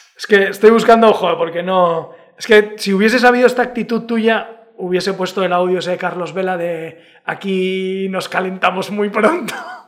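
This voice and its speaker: A man with a high pitch, fairly even intonation, big swings in loudness and a moderate pace, over noticeable background noise. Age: 40s. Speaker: podcast host. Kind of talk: casual chat.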